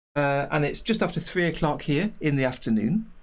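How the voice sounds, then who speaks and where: This man speaks in an English accent at a moderate pace. His intonation is lively. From English Midlands, near Nottingham. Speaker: animation tutor and streamer. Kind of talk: casual livestream chat. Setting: livestream.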